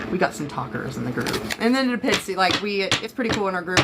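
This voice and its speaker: A woman with an American accent talks at a very fast pace, her pitch varying in an ordinary way, over noticeable background noise. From Florida. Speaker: psychic reader. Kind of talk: live-stream tarot reading. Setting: live stream. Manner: casual, chatty.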